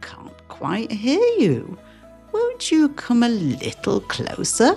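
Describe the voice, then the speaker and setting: In a put-on character voice with a fairly high pitch, the speaker talks at a very slow pace. Music plays clearly in the background. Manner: feigning weakness, coaxing.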